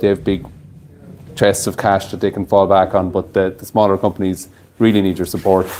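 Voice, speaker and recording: A man with an Irish Midlands accent, fairly low pitch, monotone, flat intonation and a fairly quick pace. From Ireland, County Longford. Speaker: distillery owner presenting at a whiskey tasting. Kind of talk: tasting event talk. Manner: hesitant with many fillers and repetitions.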